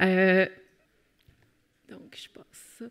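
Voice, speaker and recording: A woman of medium pitch speaks with a Quebec accent. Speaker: criminologist and professor. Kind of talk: conference talk. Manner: many hesitations (euh).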